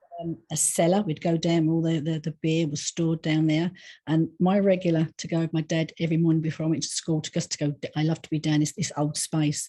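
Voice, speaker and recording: In a quiet background, a woman with a dark, mellow tone and fairly low pitch speaks at a fairly quick pace in monotone, flat intonation, with a dry, close sound and no echo. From England, East London. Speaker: psychic medium and animal communicator. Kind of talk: interview. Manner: chatty.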